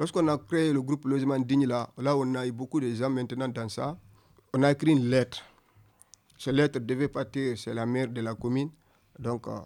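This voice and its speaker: A man with a normal speaking voice talks at a medium pitch. His intonation stays fairly even at a moderate pace. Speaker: young migrant delegate. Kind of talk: testimony.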